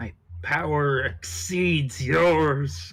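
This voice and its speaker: Putting on a character voice, a man speaks at a medium pitch with very wide pitch swings. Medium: audio drama. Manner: formal, grandiose.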